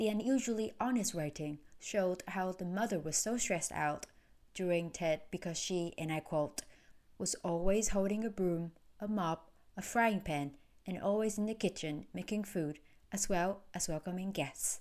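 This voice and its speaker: A woman at a medium pitch and moderate pace, with ordinary pitch variation, on a very clean recording with a silent background. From Vietnam. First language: Vietnamese. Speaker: podcast host and producer. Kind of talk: scripted narration.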